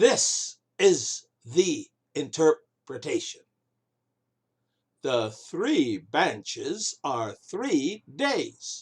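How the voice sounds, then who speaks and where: A man uses a put-on character voice at a very slow pace. Long pauses come often. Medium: read story. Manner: earnest, sincere.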